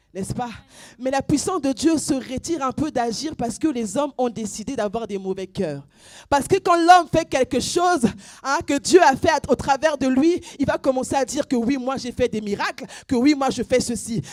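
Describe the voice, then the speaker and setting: A woman with a high pitch speaks at a moderate pace in an animated tone with lively intonation and big swings in loudness, the sound dry and close with no echo on a very clean recording with a silent background. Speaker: preacher. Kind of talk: sermon.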